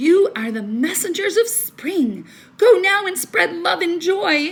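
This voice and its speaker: Put-on character voice from a woman, extremely high in pitch, at a fairly slow pace. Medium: read story.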